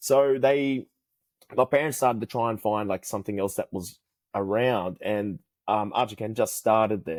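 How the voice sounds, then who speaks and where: The recording is very clean, with a silent background and a dry, close sound with no echo. A man at medium pitch speaks with an Australian accent. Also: ordinary pitch variation, moderate pace. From Australia, New South Wales. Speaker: karate instructor. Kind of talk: casual chat. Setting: podcast interview.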